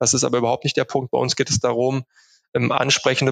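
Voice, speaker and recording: This man speaks at a medium pitch in a monotone, flat intonation, with a dry, close sound and no echo. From Germany, Unna (Ruhr area, Westphalia). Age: 30s. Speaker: travel company managing director. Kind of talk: interview. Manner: many filler sounds (ähm, äh).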